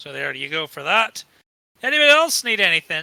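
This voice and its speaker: Using a put-on character voice, a man speaks at a fairly quick pace in a high pitch with very wide pitch swings. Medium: actual play. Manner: warm, wry.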